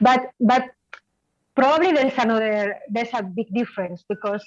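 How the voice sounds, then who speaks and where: A woman with a Spanish accent and a fairly high pitch, ordinary pitch variation, moderate pace, and a dry, close sound with no echo. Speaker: hospital clown. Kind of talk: casual chat. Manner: halting.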